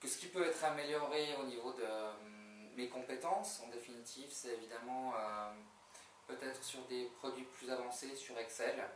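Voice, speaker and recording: A man talks at a fairly slow pace in a medium pitch with ordinary pitch variation, and the recording has audible room echo and noticeable background noise. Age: 40s. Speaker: job candidate, HR manager. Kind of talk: job interview. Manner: hesitant, many fillers.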